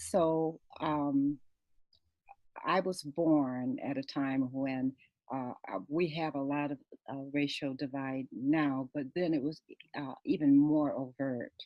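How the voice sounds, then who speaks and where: A woman's very deep, low-pitched voice at a very slow pace, with fairly even intonation and long, frequent pauses. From US, military bases. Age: 60s. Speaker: author and keynote speaker. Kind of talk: interview storytelling. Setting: radio show, pre-recorded. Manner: halting, many fillers.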